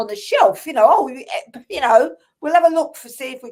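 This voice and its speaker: This woman speaks with an English accent. Her intonation is lively. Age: 60s. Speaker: spiritual healer and author. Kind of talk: casual chat. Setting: live stream.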